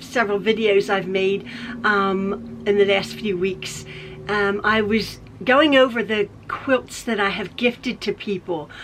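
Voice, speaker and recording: Very slow talking from a woman, with noticeable background noise behind it. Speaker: quilter. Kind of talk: casual talk to camera. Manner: chatty, repetitive; occasional stutter.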